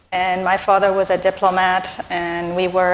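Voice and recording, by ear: This woman's fairly low voice shows little pitch movement.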